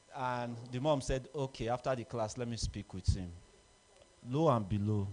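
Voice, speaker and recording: At a moderate pace, a man speaks at a medium pitch in a dark, mellow tone with ordinary pitch variation. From southwestern Nigeria. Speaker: alumni speaker. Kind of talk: speech at an association meeting.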